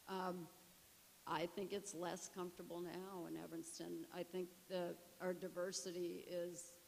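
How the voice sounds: A woman's fairly low voice with vocal fry, a slightly mellow tone and an American accent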